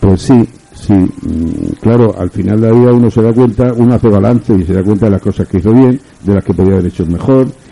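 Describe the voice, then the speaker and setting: A fairly low male voice at a fairly quick pace, ordinary pitch variation, and noticeable background noise. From Spain, Murcia. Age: 70s. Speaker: writer. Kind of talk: radio interview. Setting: radio studio. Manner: formal.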